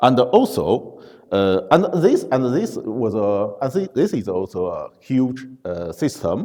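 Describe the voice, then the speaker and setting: With a non-native accent, a man speaks at a very slow pace in a dark, mellow tone, his pitch swinging very widely. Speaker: conference speaker. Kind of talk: conference talk. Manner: halting, many fillers.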